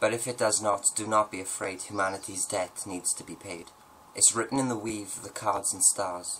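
Over light background noise, a man speaks in an ordinary speaking voice, fairly low in pitch, at a moderate pace with fairly even intonation. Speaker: poet and video host. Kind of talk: poetry reading. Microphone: webcam.

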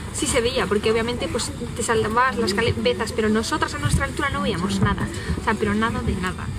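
A woman speaks at a fairly quick pace while loud background noise plays. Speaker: vlogger. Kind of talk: casual vlog chat. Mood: animated, complaining storytelling. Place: bus. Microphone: phone near.

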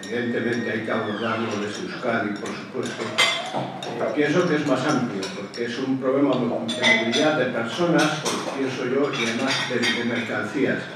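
A man speaks at a moderate pace with ordinary pitch variation. Loud background noise and audible room echo surround him. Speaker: audience member. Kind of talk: question-time comment. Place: hall.

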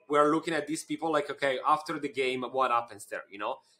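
A man with an Italian accent talks at a very fast pace, his fairly high pitch carrying a bright, sharp tone and ordinary pitch variation. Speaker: podcast host, marketing agency CEO; podcast host. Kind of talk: podcast interview. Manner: halting. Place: office. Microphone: studio mic.

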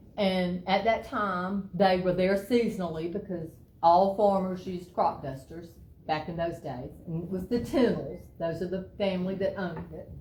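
Somewhat breathy and in a Georgia accent, a woman speaks at a medium pitch with ordinary pitch variation amid audible room echo. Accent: Georgia Southern. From US South. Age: 50s. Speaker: local resident speaking at public hearing. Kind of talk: public comment at county meeting. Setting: county commissioners meeting.

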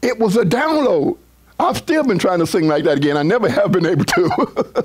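The tone is animated and the pace fairly quick. There is noticeable background noise. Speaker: pastor. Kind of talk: sermon.

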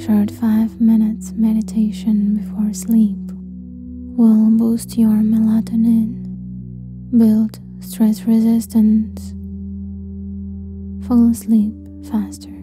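A woman speaks at a very slow pace in a calm, soothing tone, with long, frequent pauses. Music plays behind her. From Ukraine. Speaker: meditation guide. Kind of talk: guided sleep meditation.

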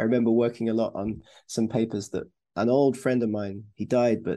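Speaking at a moderate pace, a man has a medium pitch and a dark, mellow tone.

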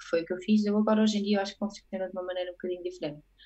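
This is a woman with an ordinary speaking voice. Her pitch is medium and her intonation fairly even. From Portugal. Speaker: photographer; guest. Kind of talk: casual interview. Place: home room. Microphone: earbuds.

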